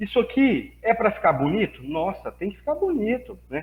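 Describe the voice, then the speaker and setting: A man's high voice with lively intonation. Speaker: professor. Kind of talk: lecture.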